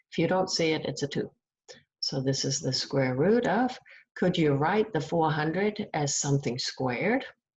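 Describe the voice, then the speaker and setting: Soft-spoken and somewhat breathy, a woman talks with very deep, low pitch and very wide pitch swings. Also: moderate pace. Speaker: math teacher. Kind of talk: recorded lecture. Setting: at home. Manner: halting.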